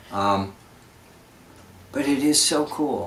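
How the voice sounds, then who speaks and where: Audible room echo and noticeable background noise surround a man speaking at a medium pitch. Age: 60s. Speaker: folk singer and show host. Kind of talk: casual chat. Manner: halting.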